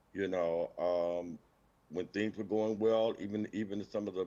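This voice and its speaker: This man has a normal speaking voice with an American accent, talking at a fairly slow pace in a fairly low pitch with fairly even intonation. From Benton Harbor, Michigan, US Midwest. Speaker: teacher. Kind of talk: interview. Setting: livestream.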